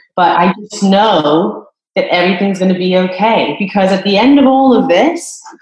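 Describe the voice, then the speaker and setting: Here is a woman with an unremarkable speaking voice at a medium pitch. Her intonation is lively. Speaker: hospitality professional, former restaurant manager. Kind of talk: casual interview. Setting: conference call.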